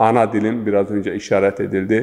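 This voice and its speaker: A man with an eastern Turkish accent and a fairly low, dark, mellow voice. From Zaza region of eastern Turkey. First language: Zaza (speaking Turkish). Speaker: religious scholar and linguist. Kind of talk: interview. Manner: formal; halting.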